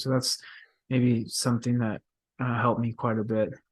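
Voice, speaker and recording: Delivered at a moderate pace, the speech carries an American accent. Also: man. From Texas, Dallas. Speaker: professional soccer player. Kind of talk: podcast interview. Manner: hesitant, many fillers.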